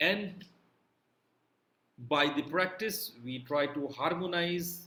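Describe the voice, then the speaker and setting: A man's bright, sharp tone with lively intonation and audible room echo. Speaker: yoga teacher. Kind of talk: lecture.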